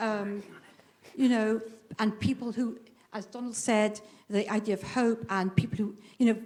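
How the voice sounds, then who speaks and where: Long, frequent pauses break up a woman's fairly high-pitched speech at a moderate pace. Her intonation stays flat and monotone over noticeable background noise. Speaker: audience member. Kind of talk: public meeting comment. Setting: public meeting hall with audience.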